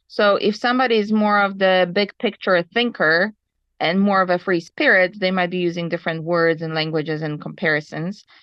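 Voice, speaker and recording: The speaker has a Polish accent and ordinary pitch variation. The pace is fairly quick. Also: woman, medium pitch for a woman. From Poland. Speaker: ski instructor, webinar participant. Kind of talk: webinar discussion.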